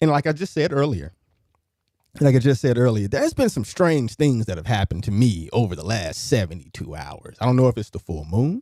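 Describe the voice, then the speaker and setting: A man's dark, mellow voice at a medium pitch, fairly quick, with very wide pitch swings, on a very clean recording with a silent background. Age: 30s. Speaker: radio host. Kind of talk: casual chat. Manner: repetitive, halting.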